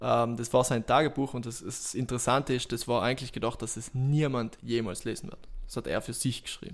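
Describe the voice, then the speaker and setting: This man has a normal speaking voice at medium pitch, with big swings in loudness and ordinary pitch variation. He talks at a fairly quick pace on a very clean recording with a silent background. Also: hardly any pauses. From South Tyrol, Italy. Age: 20s. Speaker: self-employed entrepreneur. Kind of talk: casual chat.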